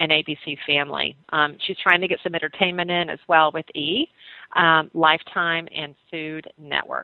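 This woman's voice is very deep and low, with a Southern US accent. She speaks at a moderate pace with monotone, flat intonation. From US South, North Carolina. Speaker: radio host. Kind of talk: talk radio.

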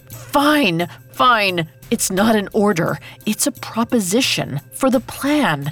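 A female-sounding, put-on character voice at a medium pitch for a woman swings very widely in pitch at a fairly slow pace. Music plays in the background, with hissing. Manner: hissed through gritted teeth.

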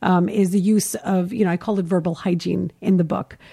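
Recorded very clean with a silent background, dry and close with no echo, a woman speaks in a dark, mellow tone at medium pitch, with ordinary pitch variation and a moderate pace. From Kuwait (Indian family). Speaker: parenting author. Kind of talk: interview. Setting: host's living room.

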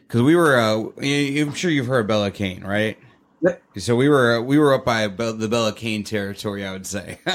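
Heard in an American accent, a plain, everyday voice moves at a moderate pace with ordinary pitch variation. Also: man, medium pitch for a man. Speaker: podcast host. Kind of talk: casual interview; scripted show intro.

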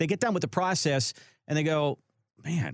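Speaking at a fairly quick pace, a man uses a fairly high pitch with vocal fry. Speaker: radio show host. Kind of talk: casual radio talk show chat.

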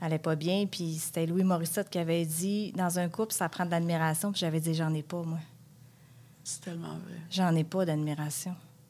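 A woman speaks at a moderate pace in a fairly low pitch. Her tone is dark and mellow, her intonation monotone and flat. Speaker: caregiver spouse. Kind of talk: testimony.

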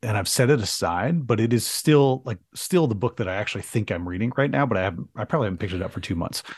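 A man with an American accent speaks in a fairly low voice with lively intonation. The background is quiet. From US Midwest (small town, southwest Michigan). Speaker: entrepreneur, public speaker and author. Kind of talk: casual interview chat. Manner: halting, many false starts; engaging speaker.

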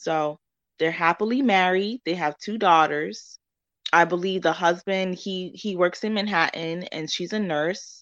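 Against a quiet background, a woman with a New York accent speaks fairly slowly, her pitch varying in an ordinary way. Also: medium pitch for a woman. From New York, Spanish Harlem. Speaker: author. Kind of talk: interview.

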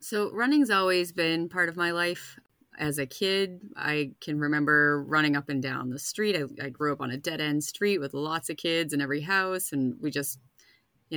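A woman speaks in a Boston accent, her pitch very deep and low with ordinary variation. Her tone is bright and sharp. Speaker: runner, spouse of recovering alcoholic. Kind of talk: casual interview.

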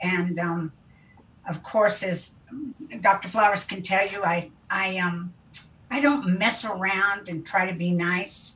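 With an American accent and an unremarkable speaking voice, a woman at medium pitch speaks at a fairly slow pace with fairly even intonation. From US Midwest, Wichita, Kansas. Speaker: interventionist. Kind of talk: interview. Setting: video call.

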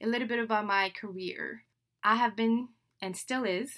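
In a French accent, a woman talks at a moderate pace with an animated tone. Her pitch varies in an ordinary way. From Senegal (Dakar). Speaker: podcast host, digital marketing trainer. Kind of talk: solo podcast introduction monologue. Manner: animated, with laughs.

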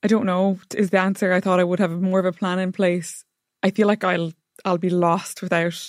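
With an Irish accent, a woman speaks in a monotone, flat intonation at very even loudness, the sound dry and close with no echo. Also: medium pitch for a woman, moderate pace, very clean recording, silent background. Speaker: lifestyle blogger. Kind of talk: casual chat.

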